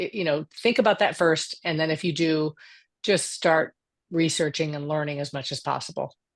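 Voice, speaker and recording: A woman at fairly low pitch and moderate pace. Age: 60s. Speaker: board career speaker. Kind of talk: panel discussion. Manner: halting, many restarts.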